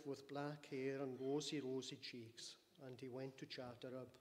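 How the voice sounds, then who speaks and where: The speaker is a man. He keeps to a moderate pace. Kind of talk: eulogy. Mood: solemn, warm. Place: church. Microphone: podium.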